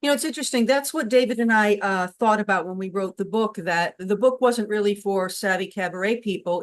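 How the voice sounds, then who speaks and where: At a moderate pace, a woman with a New England accent speaks at medium pitch. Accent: New England flat A. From Connecticut, New England. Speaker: cabaret performer and interview host. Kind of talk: casual interview chat.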